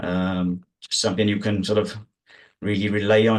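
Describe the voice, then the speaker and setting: Speaking with a South Wales accent, a man keeps a monotone, flat intonation. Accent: South Wales valleys. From South Wales valleys. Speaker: sheepdog trial handler. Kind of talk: casual interview chat. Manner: calm.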